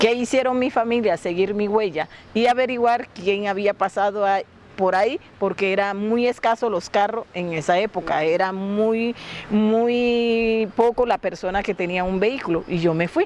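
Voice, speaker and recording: Speaking in a La Guajira accent, a woman with a medium pitch goes at a fairly slow pace with ordinary pitch variation. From La Guajira, Colombia (Wayuu). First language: Wayuunaiki (speaking Spanish). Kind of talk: interview storytelling.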